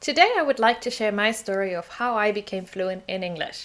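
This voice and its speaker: A woman speaks with a German accent at a fairly high pitch. Her pace is fairly quick. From southern Germany, small village. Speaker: English teacher. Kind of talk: personal story vlog.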